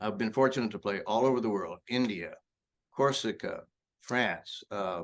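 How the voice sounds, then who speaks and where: A man talks in a Texan accent. His pitch variation is ordinary. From Texas (Lubbock and Brownwood). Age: 70s. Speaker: blues rock guitarist. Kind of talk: casual interview.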